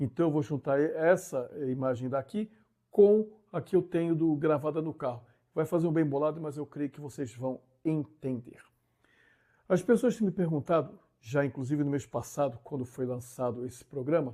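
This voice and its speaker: On a very clean recording with a silent background, a man speaks in a dark, mellow tone, his fairly high pitch showing ordinary variation. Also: moderate pace. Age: 60s. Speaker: YouTuber, driver commentator. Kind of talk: casual vlog monologue. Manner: animated; halting.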